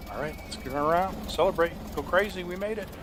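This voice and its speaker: A man speaks in a playful tone with fairly even intonation, over noticeable background noise and audible room echo. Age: 60s. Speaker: gaming YouTuber. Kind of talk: gameplay commentary. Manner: casual, playful.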